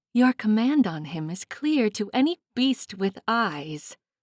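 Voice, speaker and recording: In a put-on character voice, a woman speaks fairly slowly at a fairly high pitch on a very clean recording with a silent background. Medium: read story. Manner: commanding, theatrical.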